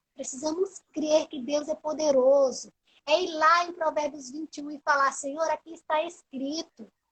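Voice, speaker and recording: A woman's high-pitched voice, flat and monotone, at a moderate pace, with a dry, close sound and no echo. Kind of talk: religious talk on a live stream. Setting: Instagram live. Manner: preaching, emphatic.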